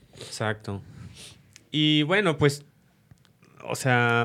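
The recording is very clean, with a silent background. The intonation is lively. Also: man. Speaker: cellist. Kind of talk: casual chat.

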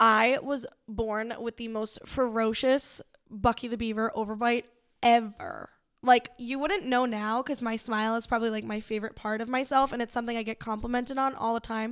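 A woman with an American accent uses a normal speaking voice at a fairly high pitch and a moderate pace. Her intonation is fairly even, and the recording is very clean with a silent background. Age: 20s. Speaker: boutique owner. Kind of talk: casual chat.

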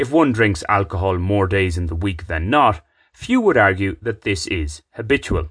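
Someone speaks with an Irish accent at a moderate pace and with lively intonation against a quiet background. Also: man, fairly low pitch for a man. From Ireland. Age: 30s. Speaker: podcaster, writer. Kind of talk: scripted narration.

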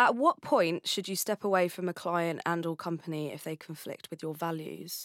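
The woman has a plain, everyday voice, fairly low in pitch, with ordinary pitch variation at a moderate pace. It is a very clean recording with a silent background. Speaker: podcast host. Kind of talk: interview, podcast conversation.

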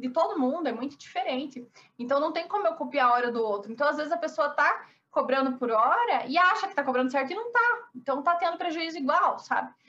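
Raised and projected, a woman's high-pitched voice with a Paraná countryside accent has a bright, sharp tone, lively intonation and a fairly quick pace. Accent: noticeable Paraná countryside. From Brazil, interior of Paraná. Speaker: architect. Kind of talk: interview.

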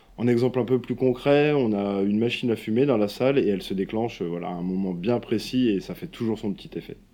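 A man's plain, everyday voice at medium pitch, fairly quick and with hardly any pauses, with ordinary pitch variation. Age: 30s. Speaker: escape game owner. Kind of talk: interview.

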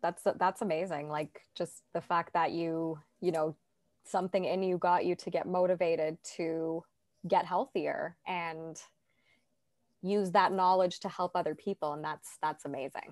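On a very clean recording with a silent background and a dry, close sound with no echo, a woman with a Canadian accent talks at a moderate pace in a fairly low pitch with flat, monotone intonation. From Toronto, Canada. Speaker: life coach and podcast host. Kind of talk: casual interview chat.

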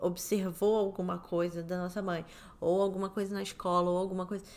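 The woman talks at a fairly quick pace and a medium pitch. Her intonation is monotone and flat. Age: 30s. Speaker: podcast co-host. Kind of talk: casual chat.

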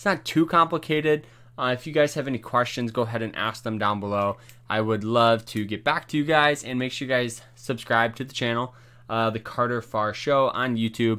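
A man speaks at a medium pitch and a fairly quick pace, with a bright, sharp tone and ordinary pitch variation. The recording is very clean, with a silent background. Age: 20s. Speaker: finance podcaster. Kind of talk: casual educational talk. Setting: home recording, no webcam. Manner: casual, filler-heavy.

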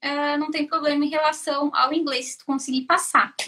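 Her voice raised and projected, a woman speaks with a bright, sharp tone in a high pitch at a moderate pace. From southern Brazil, Joinville, Santa Catarina. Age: 30s. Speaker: mechanical engineer. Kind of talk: interview on a live stream.

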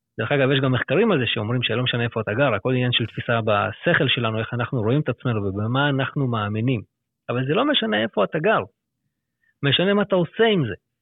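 Talking at a very fast pace, a man uses lively intonation in a medium pitch. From Israel, Lod. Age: 30s. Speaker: financial planner. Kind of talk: interview.

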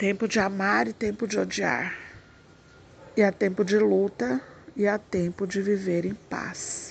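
A woman's medium-pitched voice with ordinary pitch variation, at a fairly slow pace with long, frequent pauses. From Brazil, countryside. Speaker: preacher. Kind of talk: devotional message. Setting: at home.

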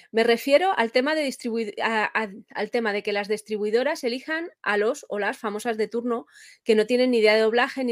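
A woman talks at a fairly quick pace with a fairly high pitch and ordinary pitch variation, in an ordinary speaking voice. The recording is very clean, with a silent background. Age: 40s. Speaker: interviewer. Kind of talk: interview.

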